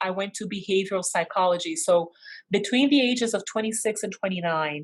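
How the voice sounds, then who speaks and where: A woman speaks at a moderate pace with a Portuguese accent and a medium pitch. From Brazil. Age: 40s. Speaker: constellations facilitator and teacher. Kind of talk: online course session.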